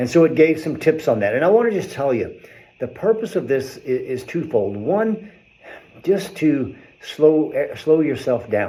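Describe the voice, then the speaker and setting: A man with an American accent talks at a fairly high pitch in a dark, mellow tone, with very wide pitch swings and vocal fry. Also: moderate pace. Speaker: chiropractor. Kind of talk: health talk video.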